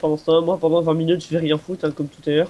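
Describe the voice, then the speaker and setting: A man's fairly high voice amid noticeable background noise. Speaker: gamer. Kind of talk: gaming commentary.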